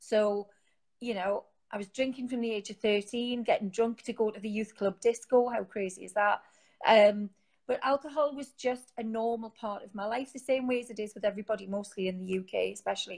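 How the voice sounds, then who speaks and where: A woman with a fairly high pitch talks at a fairly quick pace with fairly even intonation. Her loudness swings widely. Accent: Geordie. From northern England, Newcastle. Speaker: sobriety support community founder. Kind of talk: interview.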